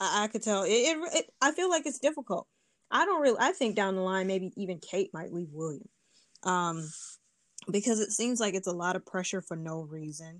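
On a very clean recording with a silent background, a woman speaks with a Detroit accent at a medium pitch. She moves at a moderate pace, and her pitch swings very widely. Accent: Midwestern American, Detroit. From US Midwest, Detroit. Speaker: language learner and polyglot speaker. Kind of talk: casual interview chat.

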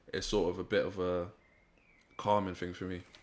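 In a London accent, a man speaks at a moderate pace with monotone, flat intonation. The recording is very clean, with a silent background. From Saint Vincent heritage, raised in London. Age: 20s. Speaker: youtube channel founder. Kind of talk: interview.

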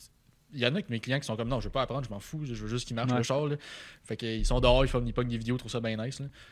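Very fast male speech in a Quebec accent, medium-pitched with fairly even intonation and big swings in loudness, on a very clean recording with a silent background. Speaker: car tuning shop owner. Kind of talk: casual interview.

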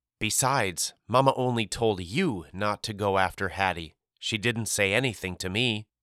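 Pitch varies in an ordinary way across a natural reading voice. Little else is heard behind it.

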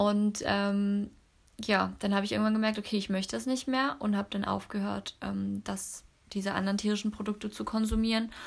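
A woman's somewhat breathy, monotone voice with flat intonation at a fairly quick pace, on a very clean recording with a silent background. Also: medium pitch for a woman. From Cologne area, western Germany. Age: 30s. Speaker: network marketer and mother. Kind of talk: casual interview chat. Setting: at home, sitting on the carpet.

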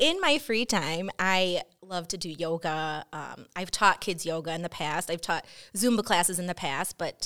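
Over a very clean, silent background, a plain, everyday voice with an American accent speaks at a fairly slow pace with ordinary pitch variation. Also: woman. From Chicago area. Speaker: assistant principal. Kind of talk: casual chat.

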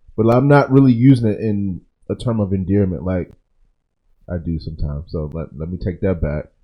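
A man's very deep, low-pitched voice with a dark, mellow tone, lively intonation and a fairly quick pace. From Maryland, Montgomery County. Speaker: fill-in co-host. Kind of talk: casual chat.

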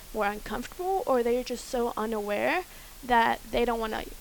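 Noticeable background noise surrounds a woman's voice. She speaks at a fairly high pitch and a moderate pace. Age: 20s. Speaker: college student. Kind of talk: group discussion.

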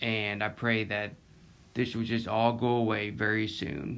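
A man with a Southern US accent speaks at a fairly low pitch. His delivery is fairly slow and monotone, with flat intonation. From Florida Panhandle. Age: 20s. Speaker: podcast host. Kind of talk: casual monologue.

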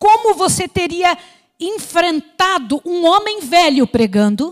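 A woman with an extremely high pitch at a fairly slow pace, in a dry, close sound with no echo. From Brazil. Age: 60s. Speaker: missionary preacher. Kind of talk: sermon.

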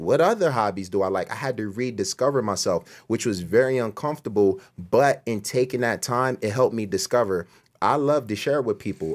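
A man speaks at medium pitch and a moderate pace, with lively intonation and hardly any pauses. The recording is very clean, with a silent background. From US Northeast (Camden, New Jersey). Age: 30s. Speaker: video producer and former musician. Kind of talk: testimony interview.

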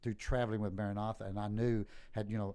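A man with a Southeast Texas accent has a fairly low pitch and a dark, mellow tone. His intonation is monotone and flat. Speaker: pastor. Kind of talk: interview about life story.

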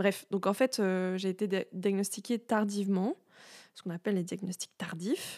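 Recorded dry and close with no echo, a woman speaks at a medium pitch and a fairly slow pace. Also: very clean recording, silent background. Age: 30s. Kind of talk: solo monologue. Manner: hesitant, many fillers.

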